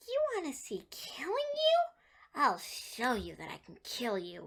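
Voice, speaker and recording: Someone does a put-on character voice at a fairly slow pace, with big swings in loudness. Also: woman. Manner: menacing.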